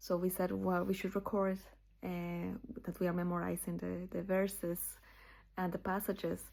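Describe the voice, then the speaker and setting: With a Spanish accent, a woman speaks at a moderate pace, taking long, frequent pauses. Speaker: channel owner sharing scripture memorization. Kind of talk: casual personal video talk. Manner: halting, many fillers.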